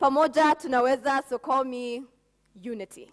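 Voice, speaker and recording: A woman speaks with ordinary pitch variation in a dry, close sound with no echo. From Kenya, Nairobi. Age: 20s. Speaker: spoken word poet. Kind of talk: spoken word poetry performance. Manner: rhythmic.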